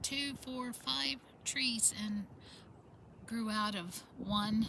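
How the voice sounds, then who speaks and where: At a very slow pace and in a relaxed tone, a woman with a fairly high pitch speaks over noticeable background noise. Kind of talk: casual talk to camera. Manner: relaxed, rambling.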